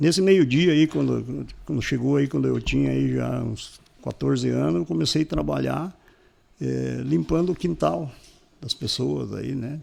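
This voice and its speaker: Very wide pitch swings run through a man's speech at a fairly slow pace. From southern Brazil, Paraná (São Mateus do Sul area). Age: 60s. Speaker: business owner. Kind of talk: interview storytelling.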